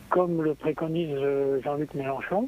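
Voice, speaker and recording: The voice belongs to a man and sits fairly high. He talks at a very slow pace. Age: 80s+. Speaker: radio caller. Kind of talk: casual chat. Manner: halting.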